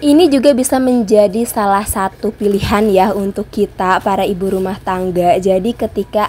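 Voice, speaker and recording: There is noticeable background noise as a woman talks at a moderate pace. Her pitch sits in the medium range and varies in an ordinary way. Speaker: housewife vlogger. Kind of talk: vlog voiceover. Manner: casual chatty.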